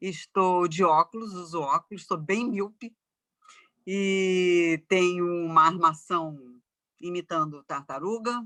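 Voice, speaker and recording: A woman speaks in a fairly low, bright, sharp voice. Her pace is very slow, with ordinary pitch variation. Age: 60s. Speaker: professor and journalist. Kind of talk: talk in online debate.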